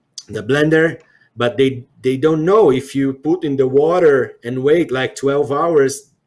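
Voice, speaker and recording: The speech comes at a very slow pace. It carries a Portuguese accent. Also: man. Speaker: CEO interviewer. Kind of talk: interview conversation. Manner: halting.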